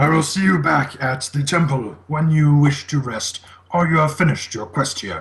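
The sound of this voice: A man does a gruff, put-on character voice at a fairly high pitch and a moderate pace.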